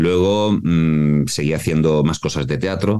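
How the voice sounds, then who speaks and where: This man's voice has a dark, mellow tone and a very deep, low pitch. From Mallorca, Spain. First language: Mallorquin Catalan (bilingual) (speaking Spanish). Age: 40s. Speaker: voice actor and voice coach. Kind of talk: interview.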